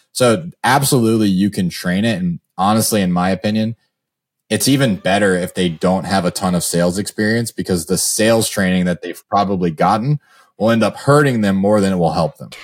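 An ordinary speaking voice from a man, fairly low in pitch and at a fairly quick pace. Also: ordinary pitch variation, dry, close sound with no echo. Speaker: real estate investor and sales coach. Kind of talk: interview.

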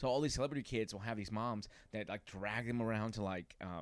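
Here a man talks at a very fast pace. The recording is very clean, with a silent background. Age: 30s. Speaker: comedian. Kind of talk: casual chat. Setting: at host's home.

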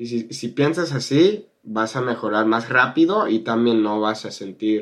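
A man with a northern Mexican accent speaks at a fairly slow pace, using ordinary pitch variation. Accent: learned Spanish with northern Mexican. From California, US. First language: English (speaking Spanish). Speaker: YouTuber and Spanish teacher. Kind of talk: interview.

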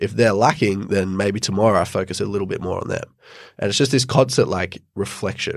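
On a very clean recording with a silent background, a man with an ordinary speaking voice talks at a fairly quick pace and a fairly low pitch, with ordinary pitch variation. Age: 20s. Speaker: podcaster and entrepreneur. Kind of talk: interview.

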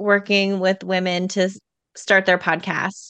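A woman with an unremarkable speaking voice talks at a fairly slow pace and medium pitch, the sound dry and close with no echo. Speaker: podcast coach. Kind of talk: casual interview chat.

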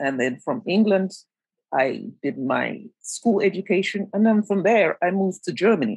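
Lively intonation and vocal fry mark this woman's medium-pitched voice. She keeps a moderate pace. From Jamaica. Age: 50s. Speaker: dance teacher and choreographer. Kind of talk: conversational discussion.

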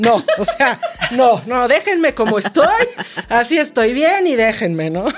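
Speaking at a moderate pace, a woman with a fairly high voice sounds animated, her pitch swinging very widely while her loudness stays very even. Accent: Mexican. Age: 40s. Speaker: cancer survivor. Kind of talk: interview.

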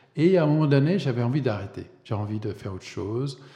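Speaking at a moderate pace, a man talks with an English accent. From US, Vermont. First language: English (speaking French). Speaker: illustrator. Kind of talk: interview. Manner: hesitant, many repetitions.

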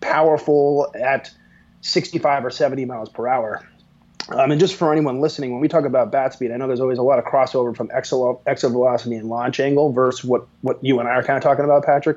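A man's ordinary speaking voice, medium in pitch, at a fairly quick pace with an American accent, fairly even intonation and a quiet background. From Pennsylvania, US. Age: 40s. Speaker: sports tech company manager. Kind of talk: casual interview.

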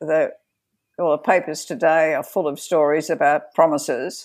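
On a very clean recording with a silent background, a woman with an Australian accent talks at a moderate pace. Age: 70s. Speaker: feminist activist and board director. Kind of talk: interview.

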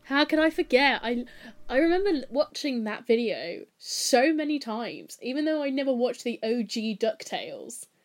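A woman with a high voice and lively intonation talks at a moderate pace. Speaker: podcast host. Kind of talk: casual chat.

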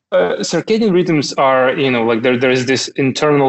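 A man with a Russian accent talks at a moderate pace. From Russia (Kaliningrad region). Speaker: tech company founder. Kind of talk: casual interview chat. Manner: hesitant, repeats words.

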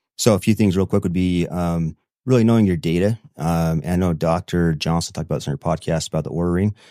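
A man with a Utah accent speaks very fast in a very deep, low pitch with a dark, mellow tone and fairly even intonation. The recording is very clean and dry, close with no echo, over a silent background. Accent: American, Utah. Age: 40s. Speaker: real estate investor. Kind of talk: casual interview.

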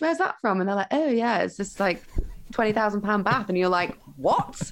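In a West Yorkshire accent, a woman talks at a moderate pace with very wide pitch swings. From northern England, Huddersfield. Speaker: broadcaster and entrepreneur. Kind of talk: casual interview chat.

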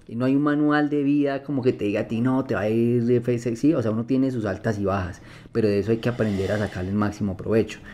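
This man has an ordinary speaking voice at a medium pitch, talking at a fairly quick pace with fairly even intonation. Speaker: blind music producer. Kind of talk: interview conversation.

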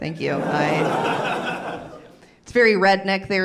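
Audible room echo surrounds a woman's voice. Noticeable background noise is also present. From US South, western North Carolina. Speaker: stand-up comedian. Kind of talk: stand-up.

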